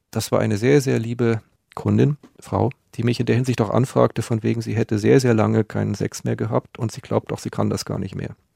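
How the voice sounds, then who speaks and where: At a fairly quick pace, a man speaks with a dry, close sound and no echo. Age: 40s. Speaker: male escort. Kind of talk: interview. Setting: studio.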